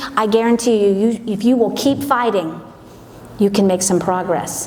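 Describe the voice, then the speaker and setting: A woman with an American accent speaks at a fairly high pitch with ordinary pitch variation, over noticeable background noise and audible room echo. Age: 60s. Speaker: event speaker, gym manager. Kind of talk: motivational talk. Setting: stage with audience. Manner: animated.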